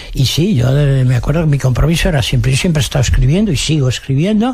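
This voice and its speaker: Over noticeable background noise, a man with a Madrid accent talks very fast at a fairly high pitch, his loudness very even and his pitch variation ordinary. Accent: Castilian Spanish (Madrid). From Madrid, Spain. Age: 80s+. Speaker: novelist. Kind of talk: radio interview answer.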